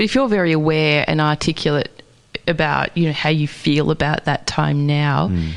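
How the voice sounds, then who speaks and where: A woman with a very deep, low pitch talks at a moderate pace with ordinary pitch variation. Her loudness stays very even over noticeable background noise. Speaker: radio host. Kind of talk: radio interview host.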